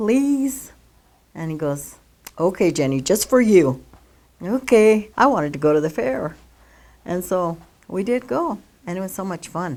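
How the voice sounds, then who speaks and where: A woman with a Western US accent speaks in a dark, mellow tone. Her pitch swings very widely, with long, frequent pauses. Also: medium pitch for a woman, fairly slow pace. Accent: American, Western US. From Colorado (Longmont). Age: 70s. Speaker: local resident. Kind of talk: oral history interview. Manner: casual, hesitant.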